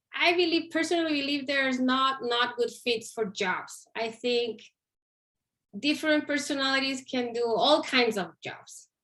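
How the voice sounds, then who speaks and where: Her voice is a woman's high, bright and sharp one, with ordinary pitch variation. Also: moderate pace. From Chile, Santiago. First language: Spanish. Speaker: Spanish instructor. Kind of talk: career interview.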